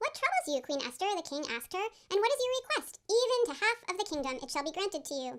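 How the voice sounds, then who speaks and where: A woman speaks very fast in an extremely high, squeaky voice with very wide pitch swings. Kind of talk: ceremonial scripture reading. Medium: stage play. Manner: measured, formal.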